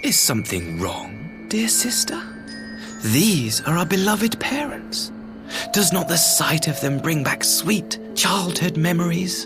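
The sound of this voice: A man puts on a character voice at a fairly high pitch, with big pitch swings and a slow pace over clear background music.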